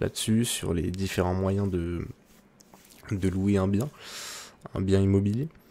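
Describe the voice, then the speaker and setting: A soft-spoken man talks at a fairly low pitch with a dark, mellow tone. His pace is fairly slow. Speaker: ASMR creator. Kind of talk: ASMR soft-spoken chat.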